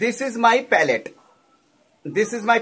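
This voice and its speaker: This man speaks at a fairly slow pace in an extremely high pitch, with ordinary pitch variation. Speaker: art teacher. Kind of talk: tutorial. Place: home room. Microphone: phone near.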